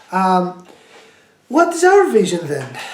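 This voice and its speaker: The pace is fairly slow. Noticeable background noise sits behind the voice. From Greece. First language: Greek. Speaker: language education project presenter. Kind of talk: tutorial. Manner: halting, many fillers.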